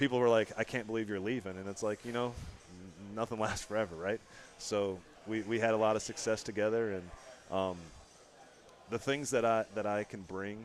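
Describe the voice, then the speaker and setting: Music plays in the background as a man with a fairly low pitch talks at a fairly quick pace, leaving long, frequent pauses. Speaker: high school basketball coach. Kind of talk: interview. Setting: restaurant live show. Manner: halting, many repetitions; enthusiastic.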